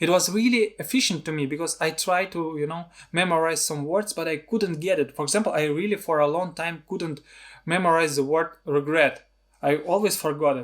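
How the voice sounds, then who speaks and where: On a very clean recording with a silent background, a man with a Russian accent talks at a fairly quick pace in a high voice with ordinary pitch variation. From Russia, Siberia. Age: 30s. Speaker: filmmaker and video blogger. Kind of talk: personal vlog talk. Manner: halting, non-fluent.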